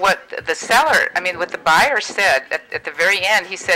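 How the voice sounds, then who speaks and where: Noticeable background noise runs under this recording. A woman speaks at a medium pitch. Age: 60s. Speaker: real estate agent. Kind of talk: call-in interview.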